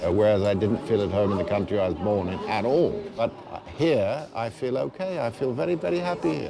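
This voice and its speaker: Over noticeable background noise, a man of medium pitch talks at a fairly quick pace with very wide pitch swings and hardly any pauses. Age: 60s. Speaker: journalist. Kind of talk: casual chat.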